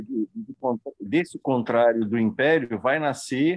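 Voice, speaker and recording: A man's medium-pitched voice with ordinary pitch variation and a dry, close sound with no echo. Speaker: study group participant. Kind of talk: group study discussion. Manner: halting, many fillers. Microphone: voice cutting out at times.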